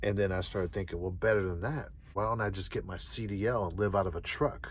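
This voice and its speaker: In a dry sound with no echo, a man speaks with a very deep, low pitch and a somewhat breathy quality. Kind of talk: casual vlog chat. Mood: calm, reflective. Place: car.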